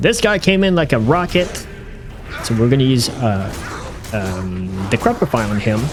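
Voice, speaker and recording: With music in the background, a medium-pitched man speaks at a moderate pace, his pitch swinging very widely and his speech broken by long, frequent pauses. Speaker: gaming youtuber. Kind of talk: gameplay commentary narration. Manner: unscripted, hesitant with many fillers.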